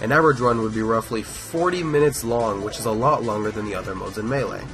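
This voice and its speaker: A man's medium-pitched voice at a very fast pace, with ordinary pitch variation and music in the background. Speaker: speedrunner and video essay narrator. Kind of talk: gaming video voice-over narration.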